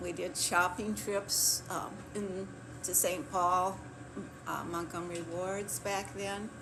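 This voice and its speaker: Speaking very slowly with an American accent, a woman uses a medium pitch and fairly even intonation, with noticeable background noise and audible room echo. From US Midwest, Clear Lake, Wisconsin. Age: 80s+. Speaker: retired kindergarten teacher. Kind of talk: oral history interview. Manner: hesitant, with fillers.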